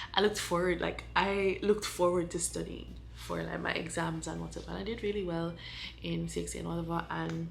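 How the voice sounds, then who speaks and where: Fairly quick speech from a woman, with audible room echo. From Jamaica. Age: 20s. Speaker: vlogger, college student. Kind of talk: casual vlog talk while doing makeup. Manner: hesitant, many fillers.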